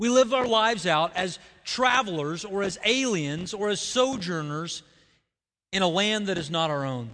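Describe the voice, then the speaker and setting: Speaking with an Oklahoma accent, a man has a high pitch and a bright, sharp tone. His intonation is lively, his pace moderate, and the background quiet. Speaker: pastor. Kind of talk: sermon. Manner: halting.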